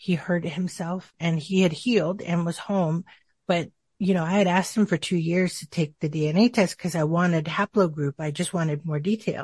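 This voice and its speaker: A somewhat breathy woman with an American accent, fairly low in pitch, at a moderate pace, in a dry, close sound with no echo and a quiet background. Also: fairly even intonation. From Arizona, US. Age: 50s. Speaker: interview guest sharing DNA discovery. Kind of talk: casual interview.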